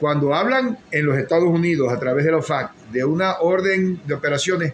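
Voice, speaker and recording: Speaking at a fairly high pitch and a moderate pace, a man comes through noticeable background noise. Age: 60s. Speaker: political commentator. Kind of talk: live-stream political commentary.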